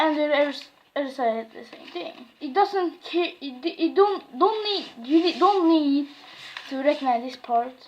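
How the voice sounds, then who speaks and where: Against noticeable background noise, a woman speaks fairly slowly in a high voice with lively intonation. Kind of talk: craft tutorial talk to camera.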